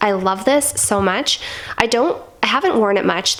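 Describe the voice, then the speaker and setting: Against noticeable background noise, a woman speaks at medium pitch. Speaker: perfume reviewer. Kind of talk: casual talk to camera.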